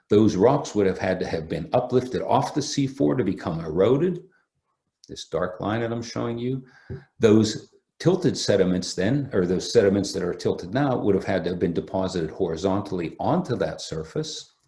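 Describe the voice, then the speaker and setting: This man has a fairly low pitch and a dark, mellow, somewhat breathy tone, speaking at a moderate pace with lively intonation. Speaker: geology professor. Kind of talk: lecture. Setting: remote online talk.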